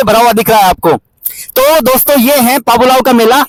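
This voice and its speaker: An extremely high-pitched man speaks with ordinary pitch variation, the sound dry and close with no echo. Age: 30s. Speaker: travel vlogger. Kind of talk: vlog presenting. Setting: outdoors at a fair.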